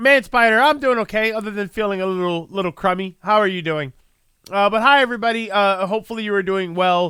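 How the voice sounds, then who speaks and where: A man talks at a fairly quick pace in a high voice with a bright, sharp tone, in a very clean recording with a silent background. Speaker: live streamer. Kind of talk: casual chat. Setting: live stream. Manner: halting, many fillers and repeats.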